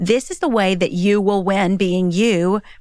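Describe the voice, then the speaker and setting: A woman with a Southern US accent speaks at medium pitch and a moderate pace in an animated, energetic tone. The recording is very clean, with a silent background. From Kentucky, US. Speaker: author and speaker. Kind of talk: casual interview chat.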